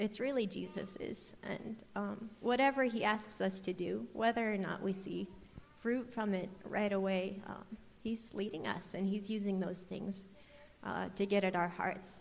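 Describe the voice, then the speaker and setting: A woman with an American accent talks at a fairly slow pace, with a medium pitch and fairly even intonation, amid audible room echo. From US Midwest, Iowa. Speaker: missionary. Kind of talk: testimony. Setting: church.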